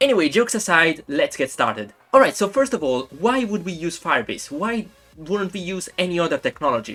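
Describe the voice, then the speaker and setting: The speaker talks at a fairly quick pace in an Italian accent. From Italy. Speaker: YouTube game developer. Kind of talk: tutorial.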